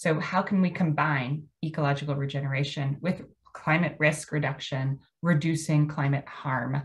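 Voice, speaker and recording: Speaking at a moderate pace in an American accent, a woman has a very deep, low pitch and a somewhat breathy sound. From US Mid-Atlantic (Maryland). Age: 50. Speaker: landscape architect presenter. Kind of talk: lecture. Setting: video call. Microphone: video call.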